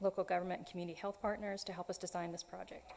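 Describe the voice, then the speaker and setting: A woman's medium-pitched, monotone voice with flat intonation at a very fast pace. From US South. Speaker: artist. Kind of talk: public comment at council meeting. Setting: city council meeting room. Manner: prepared, read statement.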